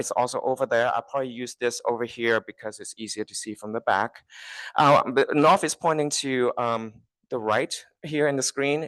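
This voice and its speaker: A man with a medium pitch and a Chinese accent speaks at a moderate pace with ordinary pitch variation, recorded dry and close with no echo against a quiet background. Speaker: transit agency staff presenter. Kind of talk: public presentation. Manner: halting, many fillers.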